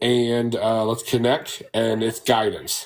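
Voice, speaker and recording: A man at medium pitch, fairly slow pace, with noticeable background noise. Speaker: rune reader. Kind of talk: psychic reading. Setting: TikTok live stream.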